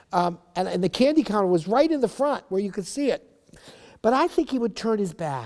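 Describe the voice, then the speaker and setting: Speaking at a very fast pace with lively intonation, a man talks with an American accent. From Schenectady, New York, US. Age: 70s. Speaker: oral history interviewee. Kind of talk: oral history interview, reminiscing. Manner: conversational with many fillers and false starts.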